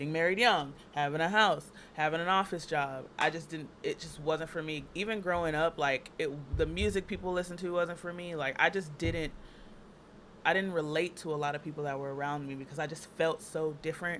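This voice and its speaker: A woman's very deep, low voice, fairly quick in pace, with fairly even intonation. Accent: American. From Texas (Dallas). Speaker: makeup artist and burlesque performer. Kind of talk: casual chat. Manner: fast, filler-heavy.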